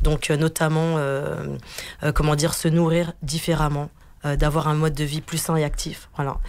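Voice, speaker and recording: Over noticeable background noise, a woman with a very deep, low pitch talks at a moderate pace in a monotone, flat intonation. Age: 40s. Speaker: team leader and wellness event organiser. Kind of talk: radio interview. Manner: hesitant, many fillers.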